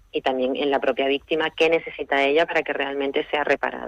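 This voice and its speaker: Her voice is very deep and low in pitch, with fairly even intonation. The woman talks at a very fast pace. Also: dry, close sound with no echo. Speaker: lawyer, restorative justice specialist. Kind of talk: radio interview answer.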